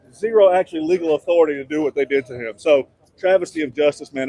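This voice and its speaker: A man with an American accent speaks at a very fast pace. Music plays in the background, and the sound is dry and close with no echo. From United States. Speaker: podcast host and political commentator. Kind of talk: interview answer. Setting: outdoors. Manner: casual, indignant.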